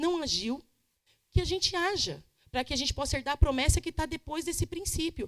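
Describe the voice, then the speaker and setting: A woman's voice with very wide pitch swings. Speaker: pastor. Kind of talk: Bible study teaching. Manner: fast.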